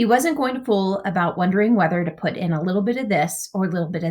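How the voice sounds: Natural-sounding reading voice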